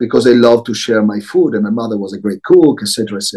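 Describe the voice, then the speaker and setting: In an Italian accent, a man talks with lively intonation and a dark, mellow tone. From Italy, Milan. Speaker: social enterprise CEO. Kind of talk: interview.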